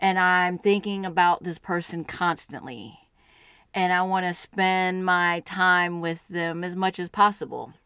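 A woman's medium-pitched voice, bright and sharp in tone, monotone and flat, at a fairly slow pace. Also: very clean recording, silent background. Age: 40s. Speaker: podcast co-guest and partner of host. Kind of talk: casual conversation.

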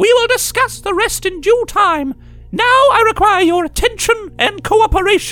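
Clear music plays in the background as a man does a put-on character voice. He speaks at an extremely high pitch and a moderate pace. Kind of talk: stately royal speech. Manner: regal, imperious, stern.

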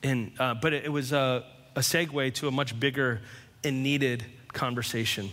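At a moderate pace, a man speaks at a medium pitch with fairly even intonation and very even loudness. His bright, sharp tone comes with audible room echo. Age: 40s. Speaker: pastor. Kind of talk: sermon.

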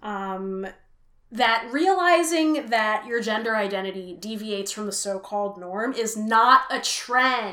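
With an American accent, a woman speaks at a fairly slow pace in a bright, sharp tone, fairly high in pitch and with ordinary pitch variation. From US West Coast (Richmond, California). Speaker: musician and performer. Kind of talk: casual interview chat.

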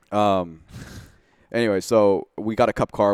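With fairly even intonation and an American accent, a man is heard in a dry, close sound with no echo on a very clean recording with a silent background. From US Pacific Northwest. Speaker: Porsche tuner and race car builder. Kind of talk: casual interview. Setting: studio.

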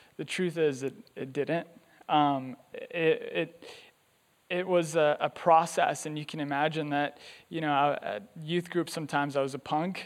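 A man talks at a moderate pace with a Californian accent. His pitch is fairly high and his intonation fairly even. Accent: Californian American English. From US, Los Angeles. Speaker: volunteer church speaker. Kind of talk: sermon. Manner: halting, frequent ums.

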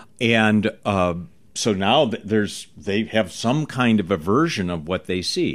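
At a fairly slow pace, a man with a fairly low pitch speaks with lively intonation. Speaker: magic school dean and magician. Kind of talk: interview. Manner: measured pacing.

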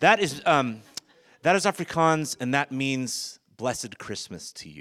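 A man with an American accent, medium in pitch, with very wide pitch swings. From US West Coast, San Francisco Bay Area. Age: 40s. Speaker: guest preacher. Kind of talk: sermon. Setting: church stage with congregation.

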